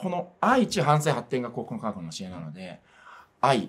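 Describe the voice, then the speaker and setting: A man's voice swings very widely in pitch. His tone climbs and drops across a broad range. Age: 40s. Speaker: religious organization PR staffer; religious organisation spokesman. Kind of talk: interview. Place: studio.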